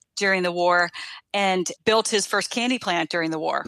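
The tone is bright and sharp, with fairly even intonation at a moderate pace. The recording is very clean and dry, close, with a silent background and no echo. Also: woman. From Washington D.C. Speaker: business owner, candy company CEO. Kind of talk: interview conversation.

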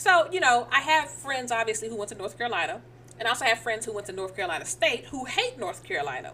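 Amid noticeable background noise, a woman with a fairly high pitch and a playful tone talks very fast, her pitch swinging very widely. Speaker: podcast co-host. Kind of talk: live sports commentary, play-by-play style reaction to a game clip, mixed with banter. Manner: animated, excited, exclaiming ('Oh Lord') in quick reactive bursts; playful, teasing back-and-forth with co-host.

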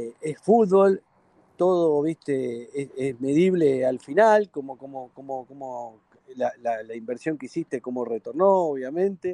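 In a Rioplatense accent, a man with a dark, mellow tone and fairly high pitch talks at a fairly slow pace with lively intonation and big swings in loudness, the sound dry and close with no echo. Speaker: football club director. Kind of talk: radio interview. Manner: halting, repeats words.

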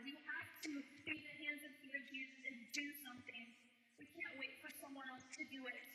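A woman with an American accent speaks in a raised, projected voice, her high pitch carrying a bright, sharp tone. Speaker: women's ministry speaker. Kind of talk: sermon. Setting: church service with audience. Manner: fast; animated.

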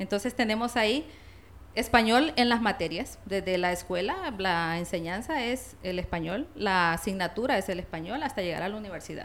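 A woman's plain, everyday voice at a medium pitch, with lively intonation and a moderate pace. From La Paz, Honduras. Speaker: linguist and Spanish teacher. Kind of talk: interview.

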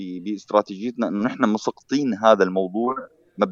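With fairly even intonation, a man speaks at a fairly slow pace and fairly low pitch in a dry, close sound with no echo. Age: 40s. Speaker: tech news site founder. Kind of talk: interview.

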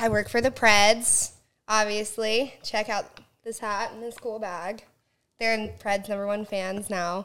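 A woman with a Southern Californian accent speaks fairly slowly in a bright, sharp tone, fairly high in pitch and monotone, flat in intonation, on a very clean recording with a silent background. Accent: Valley Girl, Southern California. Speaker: podcast guest, hockey team account executive.

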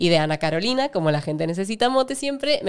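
A woman with a fairly low pitch talks very fast, her pitch swinging very widely. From Argentina. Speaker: actress. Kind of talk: casual interview.

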